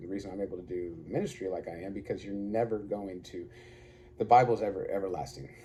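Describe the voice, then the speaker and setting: This man talks at a very fast pace in a fairly low pitch, his tone dark and mellow and somewhat breathy. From Arkansas. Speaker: online preacher / vlogger. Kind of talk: casual monologue.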